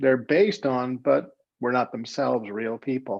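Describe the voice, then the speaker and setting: At a fairly slow pace, a man speaks in an ordinary speaking voice at medium pitch. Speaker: playwright and solo performer. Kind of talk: educational talk to students.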